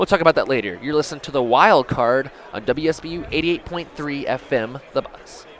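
Over noticeable background noise, a man speaks in an upbeat tone with a fairly high pitch. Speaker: student radio host. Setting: radio studio broadcast live from a busy Radio Row. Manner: upbeat, chatty, fast-moving, with fillers like 'uh' and 'um'.

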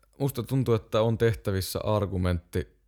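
At a fairly low pitch and a moderate pace, a man talks with a dark, mellow tone in a very clean recording with a silent background. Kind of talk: casual chat.

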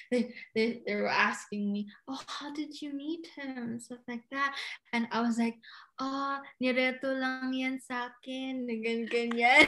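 A woman uses a raised, projected voice at high pitch and a fairly slow pace, with fairly even intonation and big swings in loudness. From Philippines, Cagayan de Oro. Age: 20s. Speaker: podcast guest. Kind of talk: casual chat.

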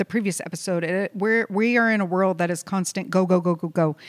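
Speech comes at a fairly quick pace with ordinary pitch variation, in an unremarkable speaking voice. The recording is very clean, with a silent background. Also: woman. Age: 40s. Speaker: podcast co-host, hemp company operations director. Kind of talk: casual chat. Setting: office.

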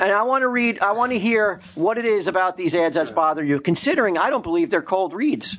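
A man at a high pitch and very fast pace, with lively intonation and very even loudness, amid noticeable background noise. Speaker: podcast co-host. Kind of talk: casual comedy podcast banter.

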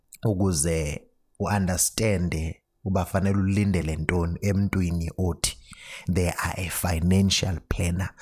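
A man with a South African accent, very deep and low in pitch, monotone and flat, at a moderate pace, on a very clean recording with a silent background. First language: Xhosa. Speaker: financial planner. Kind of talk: solo podcast explainer. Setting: alone at home at night.

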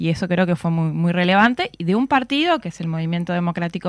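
A woman speaks in an unremarkable speaking voice. Her intonation is lively. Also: very clean recording, silent background. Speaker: political analyst and university lecturer. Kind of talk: radio interview.

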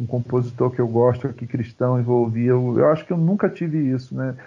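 Pitched at a medium level, a man talks in an ordinary speaking voice. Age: 50s. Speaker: pastor and musician. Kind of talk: casual chat.

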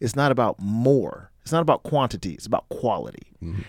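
Talking at a very fast pace, a man uses lively intonation. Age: 30s. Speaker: podcast host, former college football player. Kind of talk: casual interview. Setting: in person, Las Vegas.

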